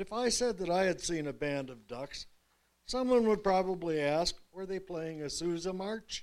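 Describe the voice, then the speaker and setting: This man's voice is high in pitch. His pace is moderate and his pitch variation ordinary. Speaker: humorous writer. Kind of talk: reading aloud. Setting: stage with audience.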